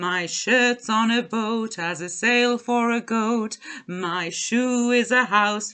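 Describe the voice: The pitch moves in an ordinary way. It's plain reading aloud.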